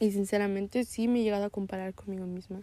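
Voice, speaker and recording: Her tone dark and mellow, a woman speaks at a medium pitch and a moderate pace. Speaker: podcaster. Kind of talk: casual monologue. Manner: halting, occasional stutter; frequent laughter.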